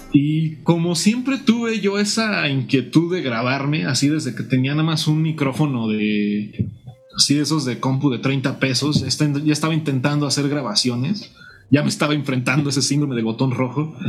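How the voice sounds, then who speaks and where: This man's fairly high voice has lively intonation and a moderate pace. Audible room echo and background music surround him. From Mexico, Morelia, Michoacán. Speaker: guitarist and music teacher. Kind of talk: interview.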